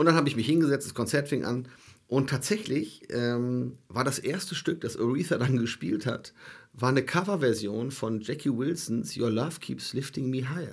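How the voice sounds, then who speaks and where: A man with an ordinary speaking voice talks at a moderate pace in a medium pitch, with ordinary pitch variation. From Germany. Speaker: soul festival promoter. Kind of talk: casual chat. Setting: studio.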